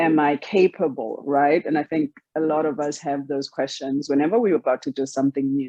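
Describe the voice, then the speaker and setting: With a South African accent, a woman speaks in a very deep, low voice with ordinary pitch variation. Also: fairly quick pace. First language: Xhosa. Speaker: author. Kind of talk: interview.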